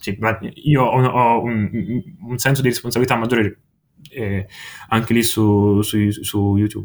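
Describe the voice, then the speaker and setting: Delivery is fairly slow, with long, frequent pauses and fairly even intonation. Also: man, medium pitch for a man. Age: young. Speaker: music webzine writer and video maker. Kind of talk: casual chat. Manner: halting.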